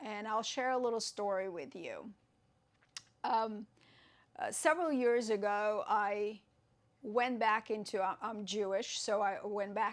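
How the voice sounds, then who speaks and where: Speaking in a Russian accent, a woman talks at a fairly slow pace with fairly high pitch and fairly even intonation. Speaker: yoga teacher. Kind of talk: tutorial. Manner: halting.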